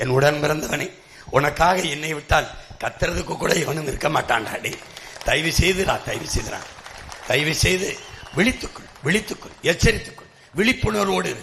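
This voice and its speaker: A man with a fairly high-pitched voice speaks in a passionate tone with lively intonation while a crowd murmurs in the background. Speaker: political party leader giving election campaign speech. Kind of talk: fiery political rally speech. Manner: passionate, forceful, rhetorical.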